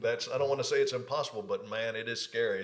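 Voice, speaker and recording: Noticeable noise fills the background. Over it, a man speaks. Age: 40s. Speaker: podcast host and comedian. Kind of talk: casual chat.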